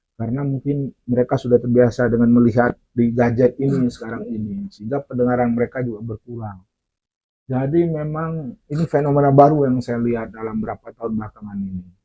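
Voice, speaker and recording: This man speaks at a very fast pace. His pitch sits in the medium range and shows ordinary variation. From Aceh. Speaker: storyteller. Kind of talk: interview. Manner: halting.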